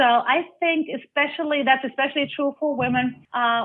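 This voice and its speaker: She speaks with a German accent. Her pitch variation is ordinary. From Germany. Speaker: life coach. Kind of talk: interview.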